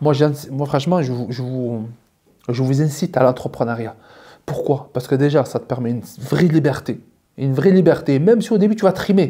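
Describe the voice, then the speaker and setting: Lively intonation and a dark, mellow, somewhat breathy tone come through, broken by long, frequent pauses. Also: man, fairly high pitch for a man. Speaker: YouTuber and entrepreneur. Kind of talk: casual vlog monologue. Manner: fast; hesitant, many repetitions.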